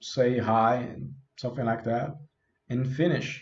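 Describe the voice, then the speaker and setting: Somewhat breathy and with a non-native accent, a man speaks amid audible room echo. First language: not English. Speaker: self-help youtuber. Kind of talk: self-help talk. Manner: casual.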